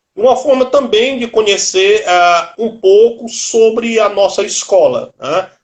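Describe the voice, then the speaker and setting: A high-pitched man talks at a very slow pace. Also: ordinary pitch variation, hardly any pauses. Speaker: martial arts instructor and live show host. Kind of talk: interview. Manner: casual.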